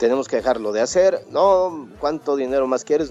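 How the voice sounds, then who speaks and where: With a central Mexican accent, a man speaks at a moderate pace and medium pitch with ordinary pitch variation, his dark, mellow tone captured in a dry, close sound with no echo. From Mexico, Puebla. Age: 30s. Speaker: radio announcer and podcaster. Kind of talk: interview.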